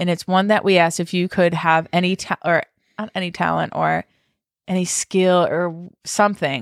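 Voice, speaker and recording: In a very clean recording with a silent background and a dry, close sound with no echo, a woman with a plain, everyday voice speaks at a fairly quick pace and fairly low pitch. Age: 30s. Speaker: podcast co-host. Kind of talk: casual chat. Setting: recording at a co-host's new house.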